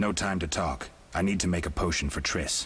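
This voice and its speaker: Using a put-on character voice with a very deep, low pitch, a man speaks fairly quickly over light background noise. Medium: video game. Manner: terse, flat.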